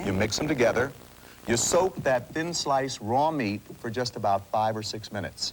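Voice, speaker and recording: Through noticeable background noise, a man talks at a moderate pace and medium pitch with lively intonation. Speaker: inventor and pitchman. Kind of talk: TV infomercial sales pitch. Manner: enthusiastic, persuasive.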